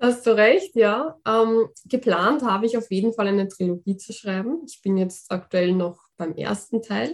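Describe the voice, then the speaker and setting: A woman with a plain, everyday voice speaks at a fairly slow pace with hardly any pauses, her fairly high pitch moving with ordinary variation while her loudness swings widely. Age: 20s. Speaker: fantasy author. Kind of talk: interview.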